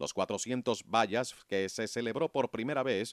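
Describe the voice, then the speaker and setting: On a very clean, dry, close recording with a silent background and no echo, a man speaks in an ordinary speaking voice at a medium pitch and a fairly slow pace with ordinary pitch variation. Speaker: documentary narrator. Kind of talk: sports documentary narration, scripted and read aloud. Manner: measured, formal, steady pace; informative, even-toned, briskly listing results.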